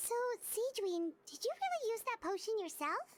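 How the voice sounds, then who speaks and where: A woman's squeaky put-on character voice, extremely high in pitch, at a moderate pace. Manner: surprised.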